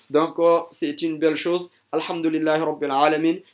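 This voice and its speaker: The man's fairly high voice stays monotone and flat throughout. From Guinea. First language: not French; never schooled in French (speaking French). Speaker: religious teacher. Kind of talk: testimony. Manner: halting, hesitant with fillers.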